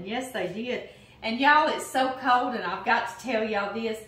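Room echo is audible as a woman speaks at a moderate pace. Her pitch is high, with ordinary variation. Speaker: home cooking host. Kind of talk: casual cooking tutorial chat. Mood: warm, cheerful. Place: kitchen. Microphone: camera far.

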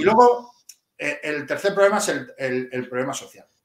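A man talks at a fairly quick pace with very wide pitch swings, against a quiet background with audible room echo. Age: 40s. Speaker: police officer; guest. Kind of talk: interview. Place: home room.

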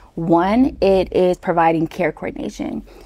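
A woman with a fairly low pitch speaks in an American accent. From Texas. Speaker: startup founder. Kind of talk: interview. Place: studio. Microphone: lapel.

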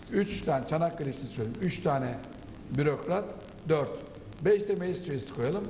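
Light background noise and audible room echo surround a man's voice. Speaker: political commentator. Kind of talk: panel discussion. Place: studio. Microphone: lapel.

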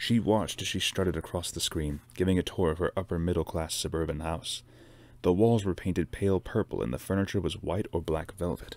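At a very fast pace, a man talks in a very deep, low voice with ordinary pitch variation, the sound dry with no echo. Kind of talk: book reading aloud. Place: home room. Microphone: webcam.

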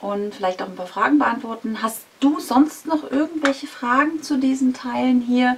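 With light background noise, the speech moves at a moderate pace with lively intonation. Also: woman. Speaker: vlogger. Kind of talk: casual vlog chat. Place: home room.

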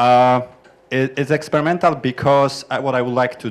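The man's intonation stays fairly even. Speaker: software developer; audience member. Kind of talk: conference group introductions. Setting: conference room with microphone. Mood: friendly, smiling. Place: classroom. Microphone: handheld.

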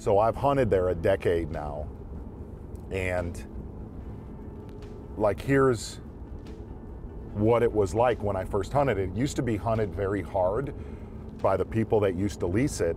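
A man with a fairly low pitch and ordinary pitch variation talks at a moderate pace, leaving long, frequent pauses. Music plays behind his dry voice, which has no echo. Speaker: show host. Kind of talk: casual reflective talk. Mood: reflective, slightly frustrated. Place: car.

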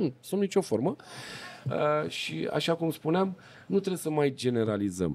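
With very wide pitch swings, a man speaks at a fairly slow pace and a fairly high pitch. Long pauses come often. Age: 40s. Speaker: podcast host; podcast host or guest. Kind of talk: casual interview chat. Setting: filmed in a shop or gas station building. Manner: animated. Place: cafe. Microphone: studio mic.

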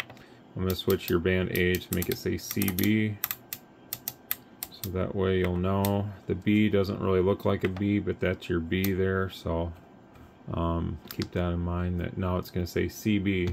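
A fairly slow pace over light background noise. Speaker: radio technician. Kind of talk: tutorial. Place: workshop.

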